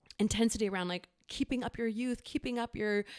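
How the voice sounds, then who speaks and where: In an American accent, a woman speaks at a medium pitch with a dry, close sound and no echo. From Florida. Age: 40s. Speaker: acupuncturist, former bartender. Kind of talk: casual interview chat. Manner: halting, many fillers and restarts.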